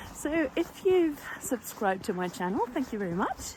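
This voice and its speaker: A woman speaks at a fairly slow pace with a non-native accent, her pitch swinging very widely. Noticeable background noise runs underneath. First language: not English. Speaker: sewing vlogger. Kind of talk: casual chat. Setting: outdoors. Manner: hesitant, with fillers.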